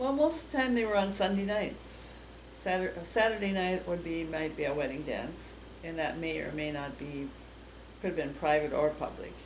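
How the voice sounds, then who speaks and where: There is noticeable background noise and audible room echo as a woman speaks with a fairly low pitch. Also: moderate pace. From Minnesota, Greenfield area. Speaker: local resident interviewee. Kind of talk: oral history interview. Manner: halting.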